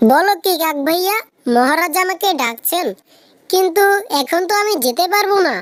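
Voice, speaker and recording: This female-sounding cartoonish character voice sits at an extremely high pitch. The pace is moderate. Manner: gentle, earnest.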